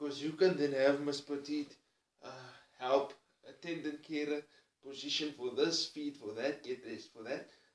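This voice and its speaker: In a Cape Town accent, a man speaks at a moderate pace in a fairly high, flat monotone. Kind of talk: personal vlog monologue.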